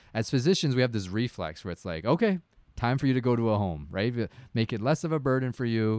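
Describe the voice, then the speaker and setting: A man with a Canadian accent talks very fast at a medium pitch with lively intonation, in a very clean, dry, close recording with a silent background and no echo. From Canada. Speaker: podcast co-host, family doctor. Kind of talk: casual chat. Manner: laughs often.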